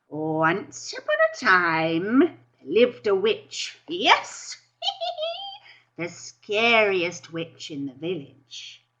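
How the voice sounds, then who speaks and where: In a put-on character voice, a female-sounding speaker talks very slowly at a medium pitch. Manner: scary.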